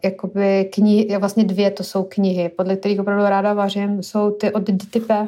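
Her pitch is medium for a woman. She delivers everything in a monotone, flat intonation. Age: 30s. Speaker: podcast co-host. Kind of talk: casual chat.

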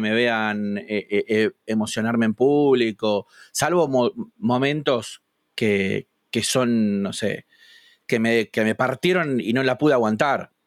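A man with a Rioplatense accent speaks at a very slow pace and a medium pitch. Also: ordinary pitch variation. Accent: Argentine Rioplatense Spanish. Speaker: youtuber and gamer. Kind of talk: casual interview.

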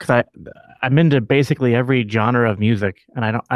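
An unremarkable speaking voice moves at a fairly quick pace. The sound is dry and close with no echo, over a quiet background. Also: man. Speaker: podcast host. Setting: video call.

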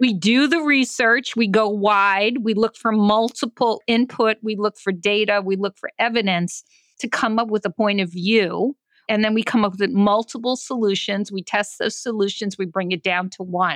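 With an American accent and an unremarkable speaking voice, a woman talks at a moderate pace with ordinary pitch variation against a quiet background, the sound dry and close with no echo. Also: fairly high pitch for a woman. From New York. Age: 60s. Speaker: design leader and author. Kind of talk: podcast interview.

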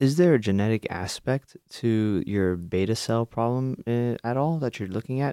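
A man's normal speaking voice at a moderate pace, with hardly any pauses, ordinary pitch variation and a dry, close sound with no echo. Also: medium pitch for a man, very clean recording, silent background. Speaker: radio co-host and PhD candidate. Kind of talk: radio interview.

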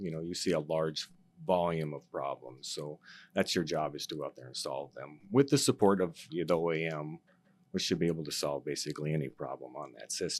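A man speaks at a moderate pace with a very deep, low voice and vocal fry. The recording is very clean, with a silent background. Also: ordinary pitch variation. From North Dakota. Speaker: field service engineer. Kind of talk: casual interview chat.

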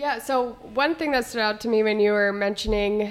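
With an American accent, a woman in an unremarkable speaking voice speaks at a fairly high pitch and a moderate pace, her pitch varying in an ordinary way. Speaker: extension educator and podcast co-host. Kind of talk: casual chat.

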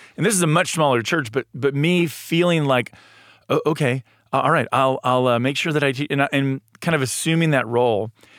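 A man with an ordinary speaking voice, fairly high in pitch and fairly quick, on a very clean recording with a silent background and a dry, close sound with no echo. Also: ordinary pitch variation. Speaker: church marriage and family director, podcast host. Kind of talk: casual chat. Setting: studio.

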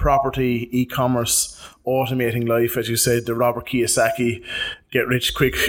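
In a normal speaking voice, a man talks at a medium pitch and a moderate pace. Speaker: podcast host. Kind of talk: casual interview chat. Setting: studio.

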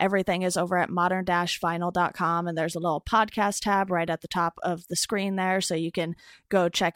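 Very cleanly recorded with a silent background and a dry, close sound with no echo, a woman talks at a fairly quick pace in a medium pitch with an ordinary speaking voice. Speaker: podcast host. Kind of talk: casual interview conversation.

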